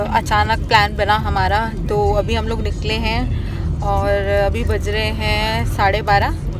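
Clear music plays in the background as a woman speaks at a very slow pace, the sound dry with no echo. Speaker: vlogger mother. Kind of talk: casual vlog chat. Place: car. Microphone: phone near.

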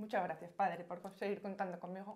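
With a Castilian accent, a woman speaks at a medium pitch. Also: quiet background. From Spain, Madrid. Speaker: pilgrimage volunteer. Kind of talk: personal testimony. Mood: warm, grateful. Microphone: lapel.

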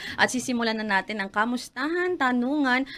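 Against a silent background on a very clean recording, a woman speaks at a moderate pace. Her bright, sharp tone swings very widely in pitch. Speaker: radio host. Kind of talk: radio interview.

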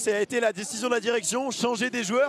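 Over light background noise, a man speaks in a dry sound with no echo. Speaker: sports commentator. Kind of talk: commentary. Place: stadium. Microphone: handheld.

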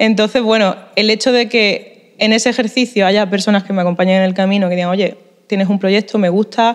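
Over a quiet background, a woman talks at a moderate pace. Her intonation stays fairly even. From Spain, Málaga (Andalusia); Andalusia, Spain. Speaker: musician, band leader. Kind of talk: interview; interview answer. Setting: at a music festival in a museum. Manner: hesitant, many fillers and repetitions. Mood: grateful, thoughtful. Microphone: handheld.

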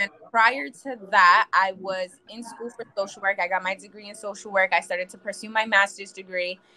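A woman at a moderate pace with hardly any pauses and big swings in loudness, over light background noise. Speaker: financial representative. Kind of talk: talk show interview. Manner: animated. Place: home room. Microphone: video call.

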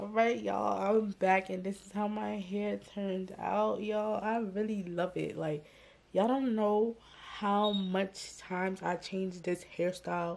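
A woman with a New York accent speaks at a fairly slow pace, her intonation fairly even but her loudness swinging widely. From New York City. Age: 20s. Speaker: vlogger and hairstylist. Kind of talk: casual talk to camera. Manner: casual, chatty. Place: home room. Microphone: phone near.

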